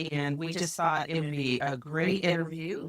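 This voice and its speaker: A woman's normal speaking voice, fairly low in pitch, at a moderate pace, with a dry, close sound and no echo. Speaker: real estate agent, podcast co-host. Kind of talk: podcast conversation.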